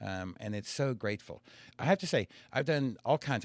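In a normal speaking voice, a man talks at a medium pitch with lively intonation. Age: 60s. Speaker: comedian and comedy show producer. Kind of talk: casual chat.

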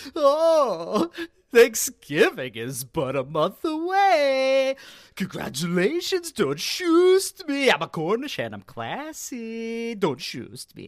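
In a put-on character voice, a female-sounding speaker talks at a very slow pace and a fairly high pitch, on a very clean recording with a silent background. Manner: sassy, haughty.

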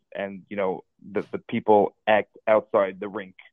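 This is a normal speaking voice. It carries an American accent. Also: man. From New Jersey. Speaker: caller. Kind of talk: casual chat. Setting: phone call.

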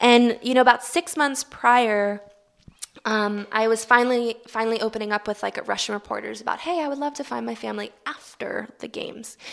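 A woman with a Baltimore accent speaks at a fairly quick pace and a fairly high pitch. Her pitch variation is ordinary, while her loudness swings widely. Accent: American, Baltimore. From US, Baltimore. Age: 20s. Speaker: Paralympic swimmer. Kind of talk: interview.

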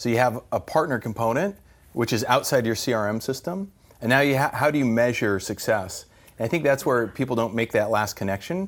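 A man with an American accent, medium pitch, lively intonation and a fairly quick pace, in a very clean recording with a silent background. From New Mexico, US Southwest. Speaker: partner marketing executive. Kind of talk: casual interview. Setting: in person over coffee. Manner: energetic.

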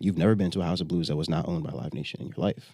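A very fast man's voice, very deep and low, with vocal fry, an American accent and ordinary pitch variation. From upstate New York, Jamaican family. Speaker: music booking agent. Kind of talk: casual chat. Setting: studio.

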